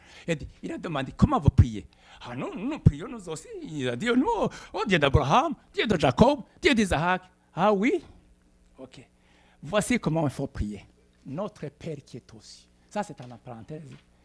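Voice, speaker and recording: Speaking at a fairly slow pace with a Burundian accent, a man with a high voice swings his pitch very widely and takes long, frequent pauses. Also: big swings in loudness. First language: Kirundi (speaking French). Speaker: pastor. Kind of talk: sermon. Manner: halting.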